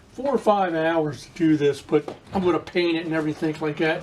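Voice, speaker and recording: Fairly high-pitched male speech at a moderate pace, fairly even in intonation, over noticeable background noise. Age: 60s. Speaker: restoration hobbyist vlogger. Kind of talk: casual vlog talk to camera. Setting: home patio workshop. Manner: halting, many fillers.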